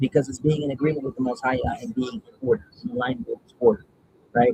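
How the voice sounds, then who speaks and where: Very fast and somewhat breathy, a man speaks with a fairly high pitch and very wide pitch swings. His tone is dark and mellow, and the sound is dry and close with no echo. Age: 30s. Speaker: spiritual content creator doing card draws. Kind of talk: casual spiritual card reading livestream. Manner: casual, meandering with fillers.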